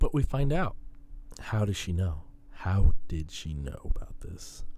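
The speaker has an American accent and very wide pitch swings. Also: man. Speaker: college radio host. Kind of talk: casual chat. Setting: studio. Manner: rambling.

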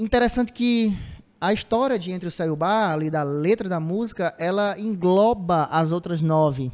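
At a moderate pace, a man speaks in a high voice for a man with ordinary pitch variation. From Ceará, Brazil (Cedro, later Cariri). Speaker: musician in a band. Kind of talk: casual interview chat.

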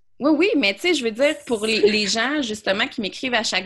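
With a normal speaking voice, a woman talks at a fairly quick pace with lively intonation. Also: very clean recording, silent background. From Quebec City (Beauport). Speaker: business coach. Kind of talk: casual interview chat.

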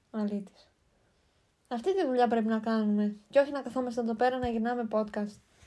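Fairly high for a woman, her voice has a dark, mellow tone and ordinary pitch variation. She talks at a fairly quick pace on a very clean recording with a silent background. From Greece, Kastoria. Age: 20s. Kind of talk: casual chat. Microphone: cheap mics, sounds a bit bad.

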